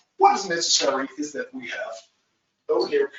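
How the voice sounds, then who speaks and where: This man's voice swings very widely in pitch. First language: Dutch. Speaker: agile trainer. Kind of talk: webinar presentation. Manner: halting, many fillers.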